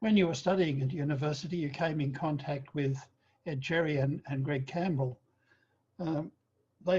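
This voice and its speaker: A man with a fairly high, dark and mellow voice sounds somewhat breathy. He talks at a fairly quick pace with fairly even intonation. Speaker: oral history interviewer. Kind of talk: interview questions.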